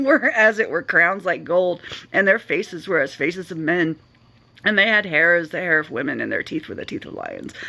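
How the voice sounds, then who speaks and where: A female-sounding, raspy put-on character voice speaks at a moderate pace. Her pitch sits in the medium range. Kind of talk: bible reading with sarcastic asides. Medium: solo performance. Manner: casual, wry.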